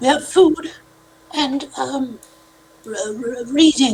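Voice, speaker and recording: A put-on character voice, high in pitch and very slow in pace. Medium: actual play.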